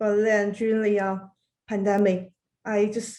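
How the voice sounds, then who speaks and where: At a fairly slow pace, a woman speaks in a dark, mellow tone with monotone, flat intonation. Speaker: interviewer, designer. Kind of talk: interview.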